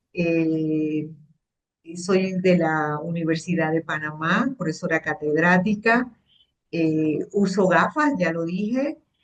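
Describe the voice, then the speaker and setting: Moving at a very slow pace, a woman speaks with ordinary pitch variation. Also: fairly low pitch for a woman. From Panama. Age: 60s. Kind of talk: interview. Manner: hesitant, many fillers.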